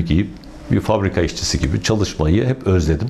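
The man has a fairly low pitch and lively intonation. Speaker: retired opera singer, painter and former opera director; interviewee. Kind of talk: interview. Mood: warm, reflective. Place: workshop. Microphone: lapel.

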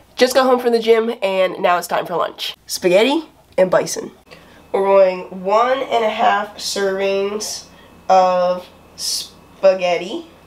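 A woman at a very slow pace with ordinary pitch variation. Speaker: athlete vlogger. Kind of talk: casual vlog chat.

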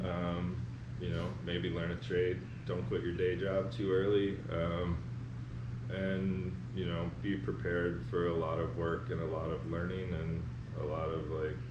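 Noticeable background noise accompanies a man speaking at a fairly slow pace. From North Carolina. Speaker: artist blacksmith and foundry artist. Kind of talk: interview answer. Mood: relaxed, reflective. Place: workshop.

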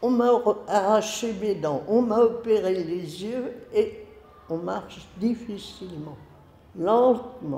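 A woman's fairly high voice with lively intonation, a very slow pace, long and frequent pauses, and audible room echo. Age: 80s+. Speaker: retired elder, letter writer. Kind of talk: reading aloud. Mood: tender, reflective about aging. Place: classroom.

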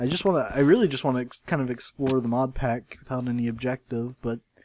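Noticeable background noise sits behind a man. He talks at a fairly quick pace with medium pitch. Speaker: gaming video creator. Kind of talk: casual gameplay commentary. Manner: monotone.

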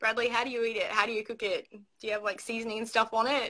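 Talking at a very fast pace, a woman with an Australian accent has a bright, sharp tone and a fairly high pitch. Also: quiet background. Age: 20s. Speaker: livestreamer; live streamer. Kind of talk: casual chat. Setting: video call. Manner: giggly. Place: home room. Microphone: phone near.

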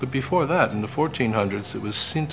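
A man talks at a moderate pace with a fairly low pitch and lively intonation. Music plays in the background. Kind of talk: travel guide narration.

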